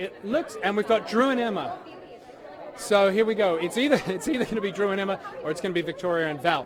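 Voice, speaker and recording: Amid crowd noise and audible room echo, a man with an Australian accent talks very fast in a high, animated voice with lively intonation. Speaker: red carpet show host. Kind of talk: live red carpet interviews. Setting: outdoor red carpet event, live.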